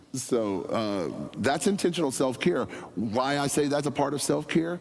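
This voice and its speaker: There is audible room echo as a man speaks in an animated tone with vocal fry. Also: moderate pace. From US, near a National Forest. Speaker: senior pastor candidate. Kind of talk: Q&A forum answer. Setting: church forum with live audience. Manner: loud.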